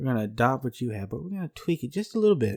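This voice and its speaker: A man's dark, mellow voice with a Southern US accent. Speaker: podcast co-host. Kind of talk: casual podcast chat.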